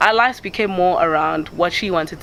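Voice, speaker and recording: Noticeable background noise accompanies a woman who talks at a moderate tempo. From KwaZulu-Natal, South Africa. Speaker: banker. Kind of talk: documentary interview answer.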